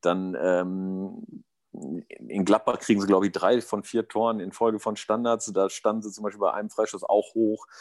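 A man talks at a moderate pace in a fairly low pitch. He has a plain, everyday voice. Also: fairly even intonation. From East Westphalia, Germany. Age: 40s. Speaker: amateur football coach. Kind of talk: casual chat.

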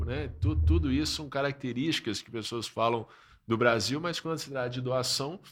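The speaker shows vocal fry and lively intonation at a moderate pace. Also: man. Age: 30s. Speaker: pastor and social-enterprise founder. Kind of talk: casual chat.

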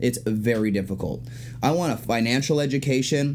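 Amid noticeable background noise, a man talks in a medium pitch with fairly even intonation. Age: 30s. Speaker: bodybuilder and personal trainer. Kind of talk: casual chat.

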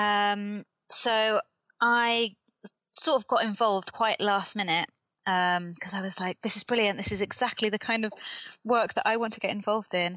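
With a British accent, a woman speaks at a moderate pace in a medium pitch with ordinary pitch variation. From UK. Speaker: development worker and author. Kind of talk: casual interview. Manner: hesitant, many fillers.

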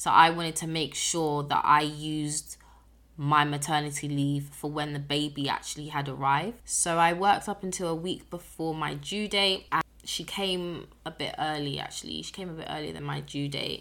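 With a British accent, a woman speaks at a moderate pace in a very deep, low pitch and a bright, sharp tone, her intonation fairly even but her loudness swinging widely. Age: 20s. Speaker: podcast host, single mother. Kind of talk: personal storytelling monologue. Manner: casual.

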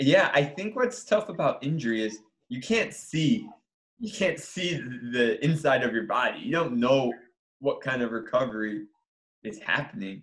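With an American accent, a man with a fairly high pitch talks at a moderate pace, his voice making very wide pitch swings. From Michigan. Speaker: sports psychology professor and paralympian. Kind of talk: interview.

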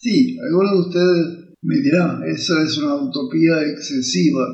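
Room echo is audible as the man talks. His pace is very slow. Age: 80s+. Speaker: professor and educational podcaster. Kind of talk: lecture. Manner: halting.

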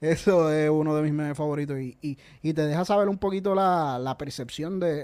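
A man speaks with a Puerto Rican accent. His pace is moderate and his pitch varies in an ordinary way. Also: very clean recording, silent background. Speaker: podcast host. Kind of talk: casual chat. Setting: live stream.

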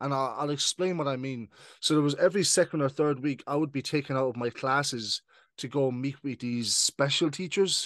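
A man speaks with an Irish accent at a fairly high pitch. The sound is dry and close with no echo, and the background is quiet. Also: ordinary pitch variation, fairly quick pace. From Ireland. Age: 20s. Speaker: podcast host, guest in own show. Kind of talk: casual interview, testimony.

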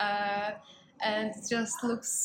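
A woman's monotone, flat intonation over noticeable background noise. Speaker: podcast co-host, university student. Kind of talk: casual chat. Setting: cafe.

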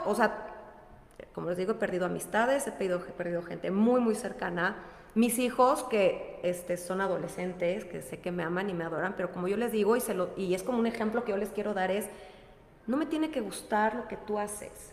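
Lively intonation and a fairly quick pace come through amid noticeable background noise and audible room echo. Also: woman, medium pitch for a woman. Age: 40s. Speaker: wellness coach. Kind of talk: casual chat.

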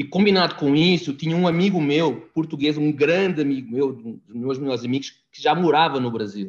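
In a normal speaking voice, a man talks at a fairly high pitch and a fairly quick pace, with ordinary pitch variation and hardly any pauses. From Portugal. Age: 40s. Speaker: immigrant guest. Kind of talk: casual chat.

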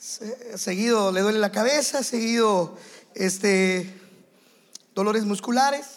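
Audible room echo surrounds a man's high voice with ordinary pitch variation. He speaks at a very slow pace with long, frequent pauses. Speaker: visiting pastor and teacher. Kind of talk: sermon. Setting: church with congregation.

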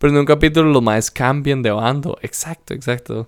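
Speaking at a moderate pace, a man uses an ordinary speaking voice with fairly even intonation. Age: 20s. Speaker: podcast co-host. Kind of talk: casual chat.

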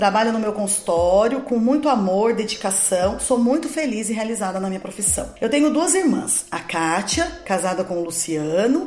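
Heard through audible room echo and noticeable background noise, a woman at a medium pitch makes very wide pitch swings. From Brazil, Guaratinguetá (São Paulo state). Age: 40s. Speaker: dentist and political candidate. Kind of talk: scripted campaign monologue. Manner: formal.

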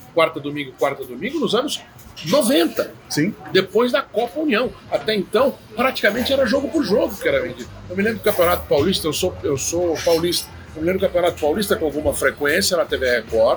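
Over noticeable background noise, a man talks at a fairly quick pace and a high pitch, with very wide pitch swings. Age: 40s. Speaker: journalist and sports commentator. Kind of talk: casual interview.

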